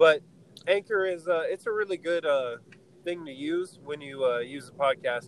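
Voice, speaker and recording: Fairly high-pitched man, ordinary pitch variation, noticeable background noise. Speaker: podcast host. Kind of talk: casual banter between friends. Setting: in a car, driving, audio not great. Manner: laid-back, laughs often.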